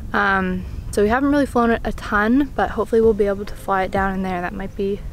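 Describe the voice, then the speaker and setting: Speech comes at a very fast pace with fairly even intonation, dry with no echo, over faint music in the background. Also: woman. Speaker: travel vlogger. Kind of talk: casual vlog chat. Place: open country. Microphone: phone near.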